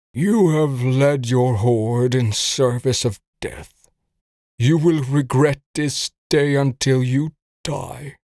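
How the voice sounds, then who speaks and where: Raspy and medium-pitched, a man's put-on character voice moves at a very slow pace with fairly even intonation, recorded dry and close with no echo, very clean with a silent background. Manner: weak, defiant.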